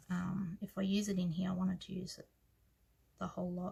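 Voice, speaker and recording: This speaker talks with an Australian accent and vocal fry. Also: woman. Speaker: planner hobby vlogger. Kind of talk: casual tutorial. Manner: hesitant, many fillers.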